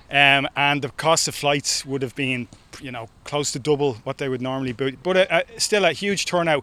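A man with a Dublin accent talks at a moderate pace in a fairly high pitch. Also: ordinary pitch variation. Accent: Irish (Dublin). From Ireland, Dublin. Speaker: sports coach. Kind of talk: interview.

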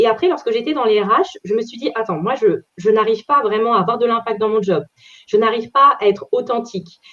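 At a fairly quick pace, a plain, everyday voice moves with lively intonation. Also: woman, fairly high pitch for a woman. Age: 30s. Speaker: career change coach. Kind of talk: interview. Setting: video call.

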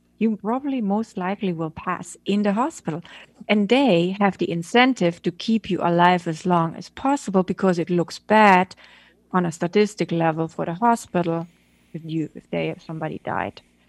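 An unremarkable speaking voice, heard in a dry, close sound with no echo, shows ordinary pitch variation and big swings in loudness. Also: woman, medium pitch for a woman, moderate pace. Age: middle-aged. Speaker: photographer and director. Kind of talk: interview.

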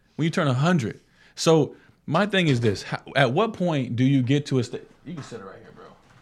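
Over a very clean recording with a silent background, a man with an American accent speaks at a fairly quick pace, somewhat breathy, with lively intonation and big swings in loudness. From Florida. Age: 20s. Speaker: podcast host. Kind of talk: casual chat.

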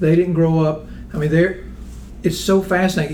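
There is audible room echo on this recording. The speaker is a man whose pitch sits fairly high. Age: 60s. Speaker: accounting firm founder. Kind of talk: casual discussion.

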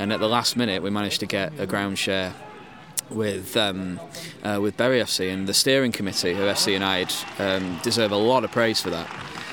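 Over noticeable background noise, a man with a Yorkshire accent talks at a fairly quick pace, with fairly low pitch and fairly even intonation. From West Yorkshire, England. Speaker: football club founder and fan. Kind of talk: casual chat. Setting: at a football ground, recording live.

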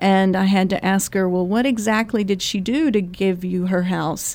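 Fairly even intonation and a moderate pace carry a normal speaking voice. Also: woman. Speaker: attorney. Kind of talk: radio interview. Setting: studio.

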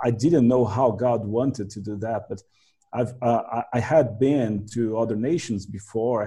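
A man with a Portuguese accent speaks at a medium pitch and a moderate pace, his voice somewhat breathy with a dark, mellow tone, over a quiet background. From Brazil. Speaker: translator and minister. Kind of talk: casual interview.

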